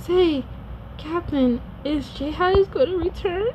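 Put-on character voice at a very slow pace, with clear background noise. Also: female-sounding voice, extremely high pitch for a woman. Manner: lonely, wistful.

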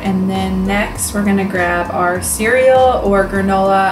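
A woman talks with music playing in the background. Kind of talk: tutorial. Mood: upbeat and playful. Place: home room.

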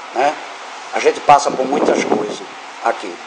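There is clearly audible noise in the background. Against it, a man talks rather slowly. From Brazil, Recife (Pernambuco). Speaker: evangelical church preacher or youth group leader. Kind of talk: informal sermon to church group. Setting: church meeting with audience. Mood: earnest, exhorting. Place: home room. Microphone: camera far.

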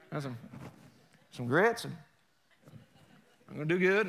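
Putting on a character voice, a man drawls in a Southern US accent at a high pitch and a moderate pace. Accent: Southern drawl. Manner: slow drawl.

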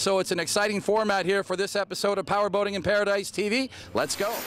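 Over light background noise, a man speaks at a very fast pace in a dry sound with no echo. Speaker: TV show host. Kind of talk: on-location TV host intro. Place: waterside. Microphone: handheld.

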